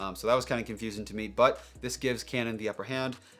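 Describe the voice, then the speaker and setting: Music plays in the background behind a man. His voice is fairly low, with ordinary pitch variation. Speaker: photographer and filmmaker, camera reviewer. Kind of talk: tech news vlog. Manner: enthusiastic.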